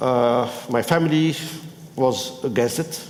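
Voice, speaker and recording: Over noticeable background noise, a man talks with a strong non-native accent. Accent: strong foreign accent in all languages. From Tunisia. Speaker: business school professor and former minister. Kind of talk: panel talk. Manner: halting.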